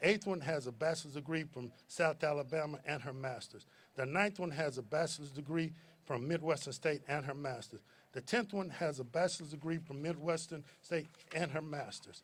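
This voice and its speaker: A man with an American accent speaks somewhat breathily at a moderate pace, his pitch fairly high with ordinary variation. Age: 60s. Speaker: commencement speaker, alumnus, youth basketball coach. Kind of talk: commencement speech. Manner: halting, repeats words.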